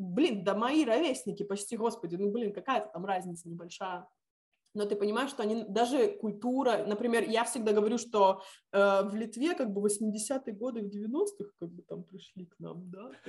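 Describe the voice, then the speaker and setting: A somewhat breathy woman speaks at a moderate pace. Her loudness rises and falls in big swings. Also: medium pitch for a woman, ordinary pitch variation. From Lithuania (Visaginas). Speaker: civic activist and teacher. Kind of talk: interview.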